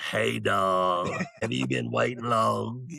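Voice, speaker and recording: A man puts on a character voice that is very deep, low, raspy and strained. He speaks at a very slow pace with very wide pitch swings. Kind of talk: casual, friendly.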